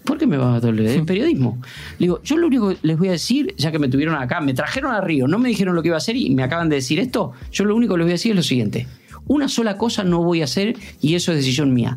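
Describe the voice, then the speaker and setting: Very fast speech swings very widely in pitch while its loudness stays very even. There is audible room echo and noticeable background noise. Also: man, high pitch for a man. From Argentina (Puan, Buenos Aires province). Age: 50s. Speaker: sports journalist. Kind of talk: interview.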